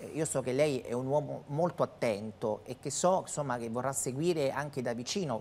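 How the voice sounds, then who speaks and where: The woman speaks at a moderate pace with a very deep, low pitch. Her pitch varies in an ordinary way. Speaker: TV interviewer. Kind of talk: TV interview. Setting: TV studio. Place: studio. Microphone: lapel.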